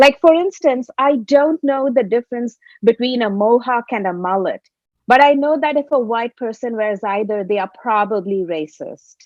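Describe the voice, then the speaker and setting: Speaking at a moderate pace with a Tamil accent, a woman uses a high pitch and lively intonation. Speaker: comedian. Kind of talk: stand-up.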